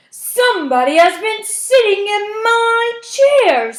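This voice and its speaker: A put-on character voice, raised and projected, moves at a fairly slow pace. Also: woman, extremely high pitch for a woman. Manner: gruff, displeased.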